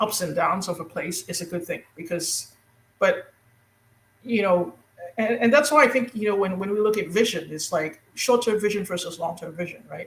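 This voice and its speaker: Moving at a moderate pace, a woman talks in a medium pitch with ordinary variation. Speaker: guest on a spiritual talk show. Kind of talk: casual conversation. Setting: live internet radio stream. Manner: halting, stumbling with many fillers.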